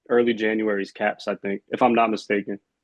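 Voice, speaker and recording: A man talks at a fairly quick pace. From Harrisburg, Pennsylvania, US. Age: 20s. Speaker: rapper and music producer. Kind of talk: casual interview chat.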